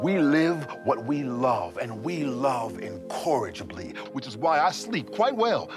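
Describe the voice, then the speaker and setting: The man's pitch swings very widely as he talks. He keeps a moderate speed while music plays behind him. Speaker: spoken word poet. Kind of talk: spoken word poetry performance. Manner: rhythmic, emphatic.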